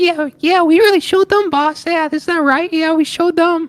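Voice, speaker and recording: The voice is a put-on character, pitched extremely high. Its speed is moderate. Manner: eager, sycophantic.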